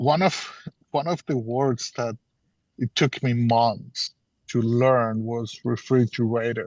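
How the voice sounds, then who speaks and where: Very slow, medium-pitched speech from a man with a non-native accent, fairly even intonation, long, frequent pauses and a dry, close sound with no echo. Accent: noticeable foreign. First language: Spanish or Portuguese. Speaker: business mentor. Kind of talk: workshop Q&A advice.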